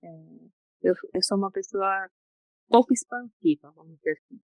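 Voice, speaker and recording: The sound is dry and close, with no echo. A woman speaks at a medium pitch. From Brazil. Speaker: psychologist. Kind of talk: interview. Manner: soft-spoken; slow.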